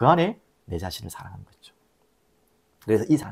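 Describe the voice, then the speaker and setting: The recording is very clean, with a silent background, as a man speaks in a strong Gyeongsang accent. His pitch swings very widely. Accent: Gyeongsang dialect, strong intonation. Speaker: pastor. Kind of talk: sermon.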